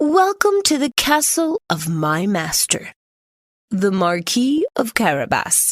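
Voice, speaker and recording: In a high, put-on character voice, a woman speaks at a fairly slow pace with very wide pitch swings. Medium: read story. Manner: sly, persuasive.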